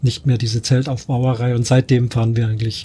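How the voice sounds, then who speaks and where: This man's voice has a dark, mellow tone and is somewhat breathy. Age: 50s. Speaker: professional musician and camper. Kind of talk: casual group chat.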